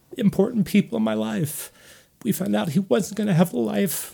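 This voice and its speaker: A dark, mellow tone with vocal fry in an American accent, very wide pitch swings and a moderate pace. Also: man. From US Northeast. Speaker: professor. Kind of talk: casual chat.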